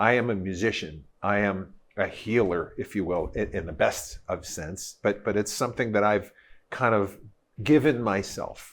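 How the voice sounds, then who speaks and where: On a very clean recording with a silent background, a man in an unremarkable speaking voice talks at a moderate pace with a fairly low pitch. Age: 60s. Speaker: guitarist. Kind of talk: casual chat.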